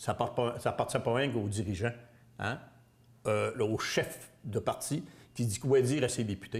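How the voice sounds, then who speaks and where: On a very clean recording with a silent background, a man at medium pitch speaks in a somewhat breathy voice. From Quebec, Bas-Saint-Laurent near Rimouski. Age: 60s. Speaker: political candidate. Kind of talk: interview. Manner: halting.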